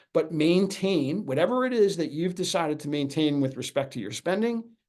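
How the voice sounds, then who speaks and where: Lively intonation from a man with a high pitch and an American accent. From New York. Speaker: financial advisor. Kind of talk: webinar presentation. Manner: fast.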